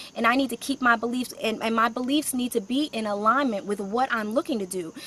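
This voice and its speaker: Noticeable noise fills the background as a woman speaks at a very fast pace. Her fairly high pitch shows ordinary variation. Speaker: career coach and author. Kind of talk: live stream talk. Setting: outdoors.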